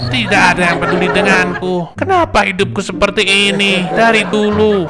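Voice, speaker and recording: Over clear music in the background, a man does a whiny put-on character voice, high in pitch and raised and projected. He moves at a moderate pace with ordinary pitch variation. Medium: machinima. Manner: scheming, whiny, self-pitying.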